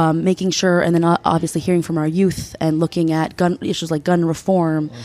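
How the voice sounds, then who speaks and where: A woman's fairly low voice with an American accent, flat monotone intonation, and noticeable background noise. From United States, Peruvian American family. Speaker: state delegate. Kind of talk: interview. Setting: conference with audience murmuring nearby.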